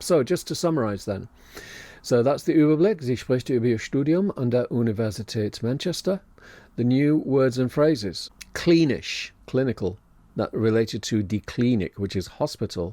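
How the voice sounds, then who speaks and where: On a very clean recording with a silent background, a man talks at a moderate pace with lively intonation and a dark, mellow tone. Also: medium pitch for a man. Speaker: language teacher. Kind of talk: educational podcast lesson. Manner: unscripted, with ums and ahs.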